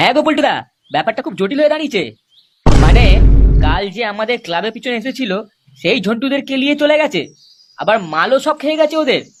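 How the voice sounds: Doing a cartoonish character voice, a man talks fast at an extremely high pitch with big pitch swings.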